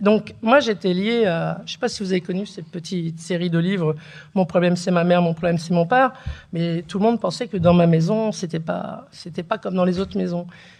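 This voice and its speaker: At a fairly quick pace, a woman talks in a normal speaking voice, fairly low in pitch, with ordinary pitch variation. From northern France (Picardy, Beauvais, Oise). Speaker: writer, daughter of a harki. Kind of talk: conversation at a public talk.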